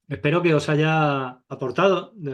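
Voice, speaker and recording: He is a man with an unremarkable speaking voice. His pitch is fairly high, with ordinary variation. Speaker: photography teacher. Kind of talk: online masterclass.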